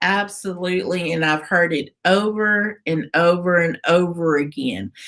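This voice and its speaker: A woman speaks in a normal speaking voice at a fairly slow pace. Her pitch is fairly low, with ordinary variation. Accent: American. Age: 50s. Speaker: radio host. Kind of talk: interview.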